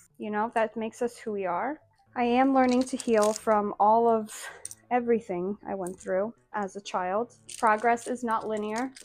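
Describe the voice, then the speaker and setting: A woman talks at a moderate pace in an American accent. Her fairly high voice keeps a fairly even intonation. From Azores, Portugal, then US (Massachusetts, North Dakota). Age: 20s. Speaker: social media creator. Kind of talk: personal vlog monologue.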